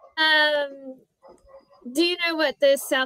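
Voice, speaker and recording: A woman speaks at a very slow pace in a high, raised and projected voice with a bright, sharp tone. Her intonation stays fairly even, and the sound is dry and close with no echo. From Australia. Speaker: conversation partner on language app. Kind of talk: casual chat.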